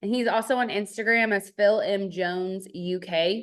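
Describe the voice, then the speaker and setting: Speaking with a Texas accent, a woman uses a medium pitch and fairly even intonation. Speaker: network marketing team leader. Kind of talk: online business training. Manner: casual, chatty with fillers.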